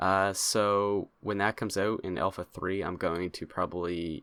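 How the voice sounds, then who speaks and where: Soft-spoken at a fairly low pitch, a man keeps a moderate pace on a very clean recording with a silent background. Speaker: gaming youtuber. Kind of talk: gameplay commentary. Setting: home recording in new place. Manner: soft-spoken, talking low; halting, many fillers.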